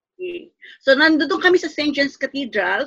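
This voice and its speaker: A woman with an unremarkable speaking voice talks fairly slowly with lively intonation, the sound dry and close with no echo. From Philippines. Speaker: NGO worker for migrant workers. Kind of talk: interview.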